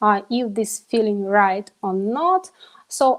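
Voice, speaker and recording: A speaker with a non-native accent talks at a fairly slow pace. The pitch varies in an ordinary way. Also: woman. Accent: non-native English pronunciation. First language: not English. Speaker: biohacker, event organizer. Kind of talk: interview. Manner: halting, many fillers.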